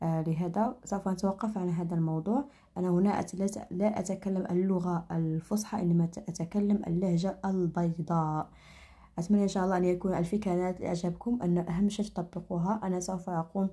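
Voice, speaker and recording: A woman's medium-pitched, dark, mellow voice, somewhat breathy, with fairly even intonation at a moderate pace. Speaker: crafts tutorial creator. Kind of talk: tutorial. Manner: halting, many fillers and restarts.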